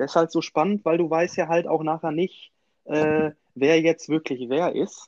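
With an unremarkable speaking voice, a man talks at a fairly slow pace in a fairly high pitch, his intonation fairly even and the sound dry and close with no echo. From Münsterland, Germany. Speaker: podcast co-host, film fan. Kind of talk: casual chat.

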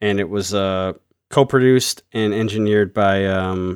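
The sound is dry and close with no echo, in a very clean recording over a silent background. A man speaks at a fairly low pitch in a monotone, flat way. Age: 40s. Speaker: metal podcast co-host. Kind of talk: casual chat. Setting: home studio in living room.

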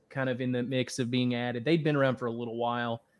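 A man with an unremarkable speaking voice at medium pitch and fairly even intonation, on a very clean recording with a silent background. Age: 30s. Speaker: sports reporter. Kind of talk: casual interview chat.

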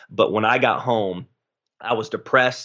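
Someone speaks in a plain, everyday voice at a moderate pace. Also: man. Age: 20s. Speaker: pastor. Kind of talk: casual chat.

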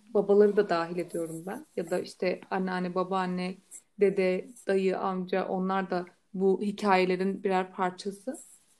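At a fairly slow pace, a woman talks in a monotone, flat delivery at medium pitch. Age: 20s. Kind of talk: casual chat.

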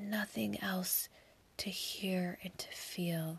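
A woman talks in a soothing, calm tone that is somewhat breathy. Her intonation stays monotone and flat. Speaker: meditation podcast host. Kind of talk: guided meditation. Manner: slow, soothing, calm.

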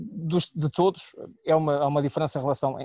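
With a dark, mellow tone and a fairly high pitch, a man speaks at a moderate pace with ordinary pitch variation, in a dry, close sound with no echo. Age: 30s. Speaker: sports journalist. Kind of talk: podcast panel discussion.

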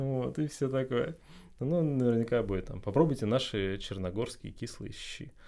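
A normal speaking voice moves at a moderate pace with ordinary pitch variation and big swings in loudness. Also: man, medium pitch for a man. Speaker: couple guest, recent emigrant. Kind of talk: casual chat. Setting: studio.

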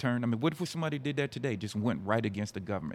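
Lively intonation marks the speech of a man talking in an American accent. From Fredericksburg area, Virginia. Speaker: community member guest. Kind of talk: discussion.

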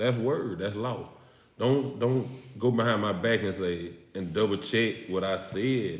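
A man talks at a moderate pace in a fairly low pitch with ordinary pitch variation. He has an unremarkable speaking voice. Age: 40s. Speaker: coach and athlete. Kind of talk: casual chat.

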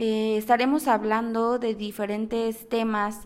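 A woman speaks with a Mexico City accent. Her pace is very slow. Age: 20s. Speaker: podcast host. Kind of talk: podcast monologue.

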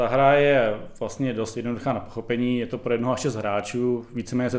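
This man talks at a fairly quick pace in a flat, monotone delivery. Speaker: podcast co-host. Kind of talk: casual chat about board games.

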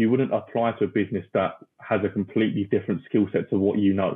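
In a British accent, a man talks at a fairly quick pace with fairly low pitch and monotone, flat intonation. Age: 20s. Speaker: recruitment company founder. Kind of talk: interview. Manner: talkative.

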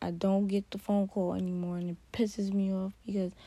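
In a very clean recording with a silent background, a woman speaks at a medium pitch. Her tone is dark, mellow and somewhat breathy, with monotone, flat intonation. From New York. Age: 20s. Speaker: podcaster. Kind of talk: personal monologue.

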